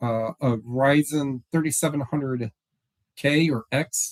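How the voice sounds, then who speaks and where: A man speaks loudly at a fairly high pitch, with a dry, close sound and no echo. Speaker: online reseller vlogger. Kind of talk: casual vlog talk. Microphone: new laptop microphone.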